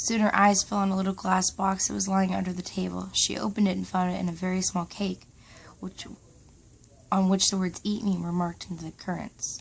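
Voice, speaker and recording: Soft-spoken and at a fairly quick pace, a woman talks in a very clean recording over a silent background. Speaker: ASMR reader. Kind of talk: bedtime story reading.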